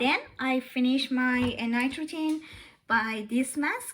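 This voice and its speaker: At a very slow pace, a woman with a non-native accent speaks in a high voice with ordinary pitch variation. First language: not English. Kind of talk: casual talk to camera. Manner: hesitant, many fillers.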